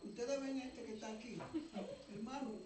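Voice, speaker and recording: A man speaks at an extremely high pitch with ordinary pitch variation. Audible room echo and noticeable background noise fill the recording. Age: 80s+. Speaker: guest preacher. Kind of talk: sermon.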